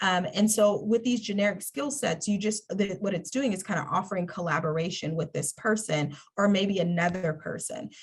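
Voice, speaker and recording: A woman talks in a somewhat breathy voice, with hardly any pauses. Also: medium pitch for a woman, ordinary pitch variation, moderate pace. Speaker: workshop presenter on mentorship. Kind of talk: webinar presentation. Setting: online webinar.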